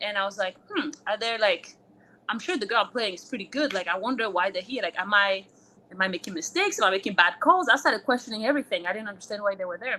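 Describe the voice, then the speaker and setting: In a French accent, a woman talks very fast at a medium pitch, her bright, sharp tone carrying lively intonation and big swings in loudness. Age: 30s. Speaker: former college tennis player. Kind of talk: interview. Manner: casual, filler-heavy.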